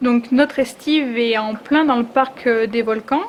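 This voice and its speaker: Over noticeable background noise, a woman with a high pitch talks with fairly even intonation. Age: 20s. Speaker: sheep farmer. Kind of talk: interview. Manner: hesitant, many fillers.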